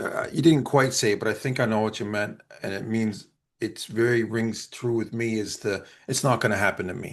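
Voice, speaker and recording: Heard over a quiet background, a plain, everyday voice moves at a moderate pace. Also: man, medium pitch for a man, ordinary pitch variation. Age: 50s. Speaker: podcast co-host. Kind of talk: casual chat.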